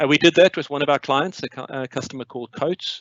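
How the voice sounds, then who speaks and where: This is a man with a South African accent. His voice sits at a medium pitch. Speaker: company CEO and co-founder. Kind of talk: webinar presentation. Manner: hesitant, many fillers.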